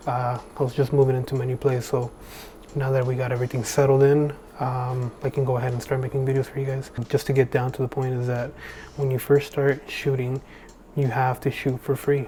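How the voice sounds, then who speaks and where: A man whispers quietly. His voice is somewhat breathy. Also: fairly quick pace. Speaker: videographer and photographer, tutorial creator. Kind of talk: tutorial. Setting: at home late at night. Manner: whispering, hushed; casual with many fillers.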